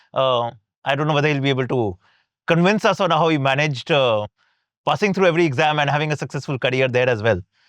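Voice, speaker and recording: Very fast speech comes from a man with a fairly high pitch and ordinary pitch variation. His loudness stays very even against a quiet background. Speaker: podcast host. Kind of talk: interview.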